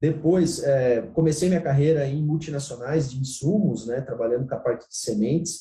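A man talks at a moderate pace in a fairly high, somewhat breathy voice with ordinary pitch variation. His tone is dark and mellow. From Santa Catarina, Brazil. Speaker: agricultural market consultant. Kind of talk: interview on commodity markets.

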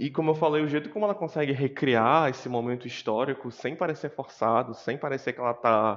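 A normal speaking voice from a man, medium in pitch, at a fairly quick pace with hardly any pauses and ordinary pitch variation. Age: 20s. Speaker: podcast host, book reviewer. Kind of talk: casual solo podcast, book review.

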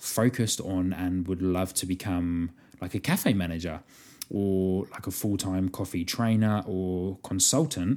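On a very clean recording with a silent background, a man with a very deep, low pitch speaks in an enthusiastic tone at a fairly slow pace, with ordinary pitch variation. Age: 20s. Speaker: podcast host and barista. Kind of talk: casual solo podcast monologue. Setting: New Zealand. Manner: friendly, enthusiastic, with fillers.

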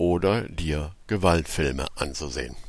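A man's very deep, low voice with a calm, soothing tone. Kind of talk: guided meditation. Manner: slow, calm and soothing, with long pauses; soft-spoken, gentle and instructive.

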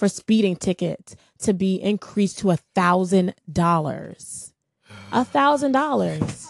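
Against a quiet background, a woman at medium pitch talks at a very slow pace, the sound dry and close with no echo. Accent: American. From Washington DC (Shaw neighborhood). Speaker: community activist and youth mentor. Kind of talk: casual interview conversation.

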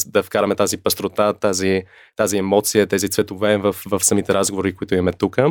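Speaking at a very fast pace, a man with an English accent and a fairly low pitch comes through in a very clean recording with a silent background and a dry, close sound with no echo. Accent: English accent in Bulgarian. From North America (USA and Canada). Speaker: documentary filmmaker and co-host. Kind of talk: casual conversation. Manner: halting, many fillers.

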